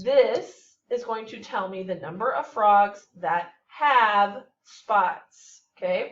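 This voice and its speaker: Speaking at a very slow pace with hardly any pauses, a woman with an American accent uses a fairly high pitch and ordinary pitch variation. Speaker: math teacher. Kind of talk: tutorial.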